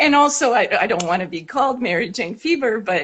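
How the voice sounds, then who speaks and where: A woman speaks at a moderate pace with very wide pitch swings. Noticeable background noise is present. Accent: French-Canadian. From French Canada. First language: French. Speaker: actor and teacher. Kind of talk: interview.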